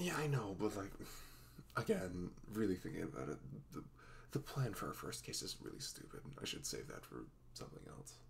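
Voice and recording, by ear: Putting on a character voice, a man speaks at a moderate pace, his low pitch making big swings and breaking into vocal fry.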